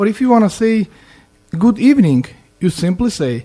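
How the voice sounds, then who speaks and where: A man with a Russian accent speaks in a dark, mellow tone with very wide pitch swings. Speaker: student language teacher. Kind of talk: language lesson. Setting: student radio studio. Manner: halting, repeats words.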